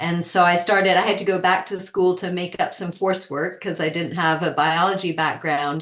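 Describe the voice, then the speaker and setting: Noticeable background noise sits behind a woman speaking with an American accent. Her voice is fairly low, with fairly even intonation. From Switzerland and Vermont, US. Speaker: wildlife biologist, author. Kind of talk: interview.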